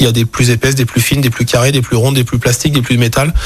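Speaking at a very fast pace, a man uses a medium pitch and fairly even intonation. Noticeable background noise runs underneath. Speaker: optician and business owner. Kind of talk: radio interview. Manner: hesitant, many fillers.

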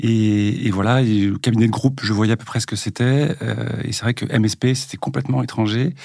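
This man's medium pitch varies in an ordinary way as he talks at a moderate pace. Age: 40s. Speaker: general practitioner. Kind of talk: casual interview. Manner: hesitant, many fillers.

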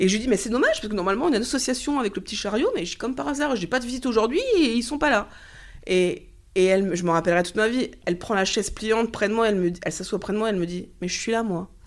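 A woman's fairly high voice, animated in tone with lively intonation and a very fast pace, on a very clean recording with a silent background. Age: 30s. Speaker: cancer patient. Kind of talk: testimony.

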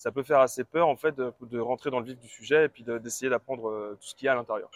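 Recorded dry and close with no echo, a man of medium pitch talks at a fairly quick pace with ordinary pitch variation. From Brittany, France. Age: 20s. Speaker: entrepreneur running a book-summary website. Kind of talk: interview. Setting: outdoors.

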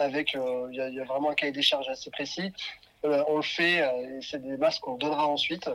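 In a normal speaking voice, a man talks at a moderate pace with a fairly high pitch and fairly even intonation. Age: 30s. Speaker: fashion brand founder. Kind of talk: interview.

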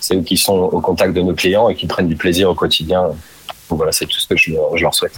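Noticeable noise sits in the background. Over it, a man speaks fairly quickly. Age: 30s. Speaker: store manager. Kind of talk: interview. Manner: halting.

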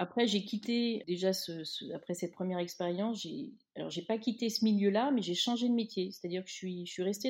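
A woman talks at a fairly quick pace in a medium pitch, somewhat breathy, with fairly even intonation. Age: 50s. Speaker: magazine editor. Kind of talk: interview. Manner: hesitant, repeats words.

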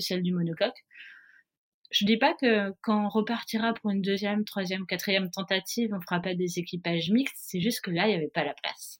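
Speaking at a fairly quick pace with fairly even intonation, a woman's medium-pitched voice comes through on a very clean recording with a silent background. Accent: southern French. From southern France, Nice. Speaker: professional offshore sailor. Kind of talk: interview. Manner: hesitant, many fillers.

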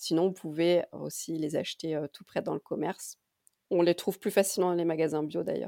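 In a dark, mellow tone with vocal fry, the speaker delivers a flat monotone at a moderate pace with big swings in loudness, the sound dry and close with no echo on a very clean recording with a silent background. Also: woman, fairly low pitch for a woman. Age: 30s. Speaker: pharmacist and naturopathy student. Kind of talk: casual interview.

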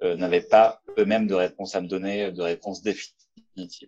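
A man's fairly low voice with fairly even intonation at a moderate pace over a quiet background. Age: 30s. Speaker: engineer. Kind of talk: testimony. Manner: halting.

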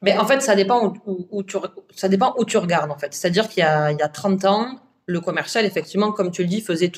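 Speaking at a fairly quick pace, a woman has a medium pitch, ordinary pitch variation, and a plain, everyday voice. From southern France. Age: 30s. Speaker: entrepreneur, agency founder. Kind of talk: podcast interview. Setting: at the guest's office.

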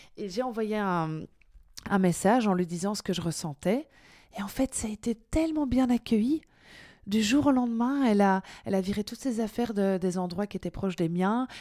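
A woman speaks in a bubbly tone at a medium pitch and moderate pace. The recording is very clean with a silent background. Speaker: author and former French teacher. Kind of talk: interview. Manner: lively, bubbly; hesitant, many fillers.

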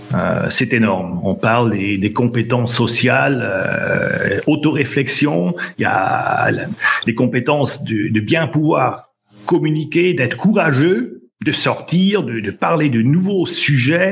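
Over noticeable background noise, a man with a fairly high pitch speaks at a very slow pace, his pitch swinging very widely. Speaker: sales trainer. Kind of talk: casual interview. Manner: hesitant, repeats words.

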